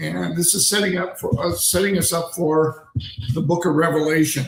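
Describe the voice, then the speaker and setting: High male pitch in an American accent, with fairly even intonation and a moderate pace. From Pennsylvania, US. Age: 60s. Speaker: ordained minister and streamer. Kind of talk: livestream monologue. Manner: halting, many fillers.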